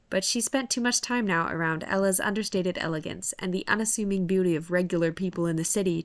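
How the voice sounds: A natural reading voice with an ordinary amount of pitch movement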